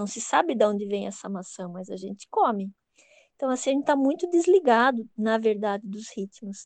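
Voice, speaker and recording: In a normal speaking voice, a woman with a fairly high pitch talks at a moderate pace, using lively intonation and big swings in loudness. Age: 50s. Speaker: Waldorf early childhood educator. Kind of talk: interview.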